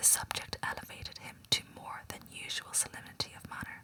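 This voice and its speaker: Someone is whispering at a moderate pace against noticeable background noise. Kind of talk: whispered audiobook reading of a classic novel, ASMR. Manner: whispered, relaxing, calming.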